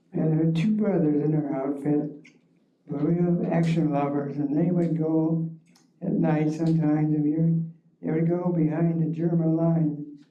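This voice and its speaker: A man with an American accent speaks at a fairly high pitch in a monotone, flat intonation. His loudness stays very even, and room echo is audible. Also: moderate pace. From Ohio, Cleveland area (Rocky River). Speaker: war veteran. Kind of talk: oral history talk. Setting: library forum with audience.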